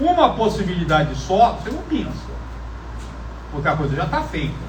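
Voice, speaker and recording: A man at a moderate pace with long, frequent pauses, amid noticeable background noise and audible room echo. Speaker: math professor. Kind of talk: lecture. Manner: loud.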